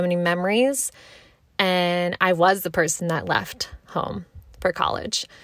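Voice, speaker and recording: A woman with an American accent and a fairly low pitch, on a very clean recording with a silent background. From US, Maryland. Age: 20s. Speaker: podcast host. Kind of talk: casual monologue. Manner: animated.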